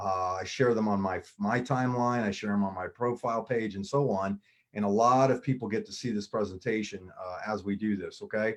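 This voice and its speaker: Fairly quick, fairly even speech in an American accent, with hardly any pauses. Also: man, fairly low pitch for a man. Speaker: MLM business presenter. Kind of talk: sales pitch. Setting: live online video stream. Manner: fast.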